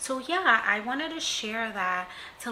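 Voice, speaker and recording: A woman talks at a very slow pace with lively intonation. Audible room echo and noticeable background noise fill the recording. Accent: slight non-native. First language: not English. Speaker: self-empowerment vlogger. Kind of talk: casual vlog talk to camera. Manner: hesitant, many fillers.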